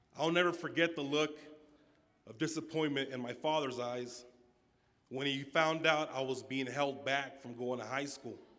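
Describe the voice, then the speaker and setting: A man talks at moderate pace in a fairly high, bright, sharp tone with fairly even intonation. Audible room echo surrounds the voice. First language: Spanish. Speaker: student commencement speaker. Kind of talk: commencement speech. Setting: auditorium stage with audience.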